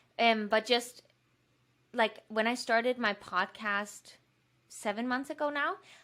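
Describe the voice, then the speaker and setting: With a Danish accent, a woman speaks at a fairly slow pace in a bright, sharp tone, her fairly high pitch showing ordinary variation and long, frequent pauses. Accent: Danish accent, imperfect English. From Denmark. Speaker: fitness YouTuber and podcaster. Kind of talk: podcast interview. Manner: casual, uses many fillers.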